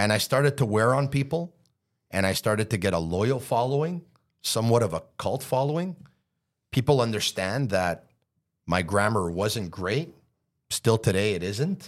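A man with a Montreal accent, medium pitch and lively intonation, with long, frequent pauses on a very clean recording with a silent background. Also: moderate pace. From Montreal, Canada. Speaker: radio and podcast host, hockey analyst. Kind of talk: casual interview chat. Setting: studio. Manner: passionate, animated.

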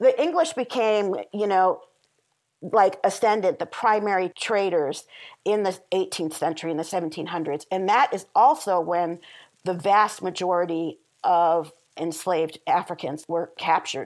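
A woman's normal speaking voice at medium pitch, with an American accent, on a very clean recording with a silent background. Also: ordinary pitch variation, fairly slow pace. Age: 50s. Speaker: historian and author. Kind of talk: interview.

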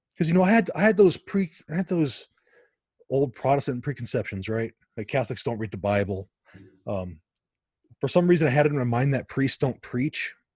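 Somewhat breathy and fairly high-pitched, a man with an American accent talks at a fairly quick pace with very wide pitch swings and long, frequent pauses, in a dry, close sound with no echo and a quiet background. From US West Coast, Los Angeles area. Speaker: author and evangelist. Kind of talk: interview conversation.

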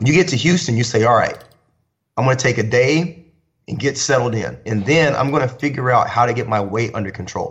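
Somewhat breathy, a man speaks at a medium pitch. His pace is fairly quick, with ordinary pitch variation. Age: 30s. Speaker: fitness trainer and DJ. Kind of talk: casual chat.

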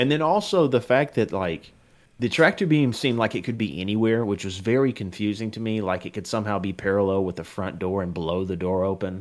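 A man with a fairly low pitch and a plain, everyday voice, ordinary pitch variation, a fairly quick pace, on a very clean recording with a silent background. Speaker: podcast co-host. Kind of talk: casual chat.

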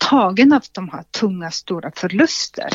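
Using a plain, everyday voice, a woman speaks at a fairly slow pace with lively intonation. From Soviet Union. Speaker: healthcare entrepreneur. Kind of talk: interview.

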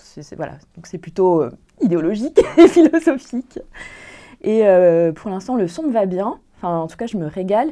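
A woman with a dark, mellow tone speaks with very wide pitch swings and big swings in loudness. Long, frequent pauses run through her speech. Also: medium pitch for a woman, moderate pace. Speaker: podcast host. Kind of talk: casual group discussion. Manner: animated.

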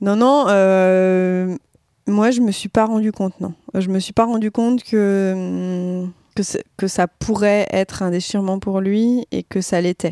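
Speaking very slowly with fairly even intonation, a woman has a dark, mellow tone in a dry, close recording with no echo. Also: medium pitch for a woman. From Marseille, southern France. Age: 30s. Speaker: podcast guest, older sister. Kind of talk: casual conversation.

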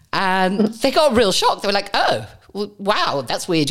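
Delivery comes at a moderate pace against noticeable background noise. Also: woman. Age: 40s. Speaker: podcast host. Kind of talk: casual interview.

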